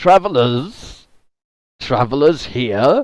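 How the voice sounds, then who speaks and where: This man uses a put-on character voice. It sits at a fairly high pitch. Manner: yelling out a greeting.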